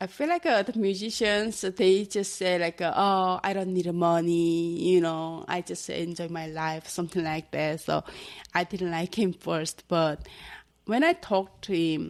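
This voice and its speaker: In a Korean accent, a woman with a fairly low pitch talks at a fairly slow pace with fairly even intonation, on a very clean recording with a silent background. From North Korea. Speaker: North Korean defector. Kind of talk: interview. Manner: halting.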